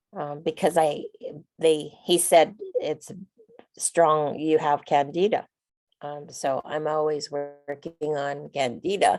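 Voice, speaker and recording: With music in the background, a woman speaks very slowly in a very deep, low voice, her intonation fairly even but her loudness swinging widely. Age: 60s. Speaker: participant. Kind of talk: casual chat.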